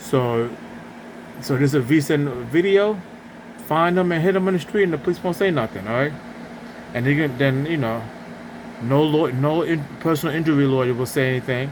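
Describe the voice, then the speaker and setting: Mumbling at a fairly high pitch with ordinary pitch variation, a man talks at a fairly quick pace broken by long, frequent pauses, with noticeable background noise. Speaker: video blogger. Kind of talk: casual monologue rant. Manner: halting.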